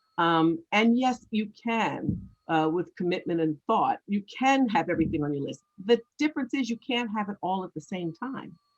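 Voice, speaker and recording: In a normal speaking voice, a woman talks at a medium pitch and moderate pace with lively intonation, the sound dry and close with no echo. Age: 60s. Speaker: author and former nonprofit CEO. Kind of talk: interview.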